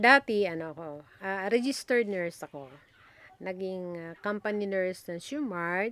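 A woman speaks slowly in a plain, everyday voice at a medium pitch with ordinary pitch variation. Her loudness swings widely. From Batanes, Philippines (Itbayat). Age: 60s. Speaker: retired nurse. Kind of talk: interview.

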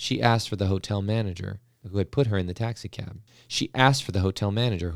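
An unforced reading voice carries the passage.

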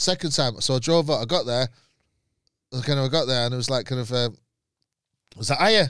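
Someone with a Mancunian accent talks at a very fast pace with ordinary pitch variation and long, frequent pauses, in a very clean recording with a silent background. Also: man, medium pitch for a man. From Manchester, Moss Side. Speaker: comedian. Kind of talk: casual chat.

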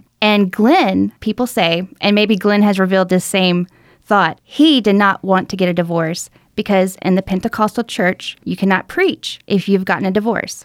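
In a very clean recording with a silent background and a dry, close sound with no echo, a woman with an Alabama accent speaks at a moderate pace, at medium pitch and with ordinary pitch variation. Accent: Southern US (Alabama). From US South, rural Alabama. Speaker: podcast co-host. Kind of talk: true crime storytelling chat.

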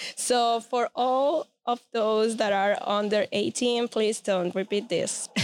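Very even in loudness and with ordinary pitch variation, the speech comes in a Spanish accent at a very slow pace with hardly any pauses, on a very clean recording with a silent background. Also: woman, fairly high pitch for a woman. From Venezuela. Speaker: podcast host and photographer. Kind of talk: casual interview chat.

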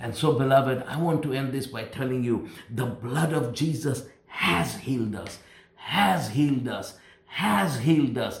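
There is noticeable background noise behind a man's voice. He speaks at medium pitch with ordinary pitch variation. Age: 60s. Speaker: pastor. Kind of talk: sermon. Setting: recorded at home.

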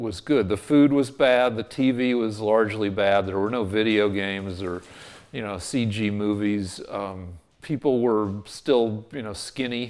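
A man with a plain, everyday voice and an American accent speaks at a fairly low pitch and a fairly slow pace. His pitch varies in an ordinary way. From US West (Boulder, Colorado). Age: 60s. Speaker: TV comedy writer. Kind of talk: casual interview.

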